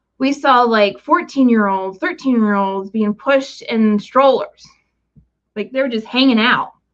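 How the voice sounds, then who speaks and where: Using a normal speaking voice, a woman with an American accent talks fairly slowly at a fairly high pitch with ordinary pitch variation. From West Virginia. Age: 40s. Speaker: vlogger. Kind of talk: casual chat. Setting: livestream.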